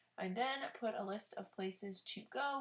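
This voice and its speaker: With ordinary pitch variation, a woman speaks at a fairly high pitch in a somewhat breathy voice. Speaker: planner vlogger and sticker shop owner. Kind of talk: voice-over narration of a plan with me video. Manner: fast.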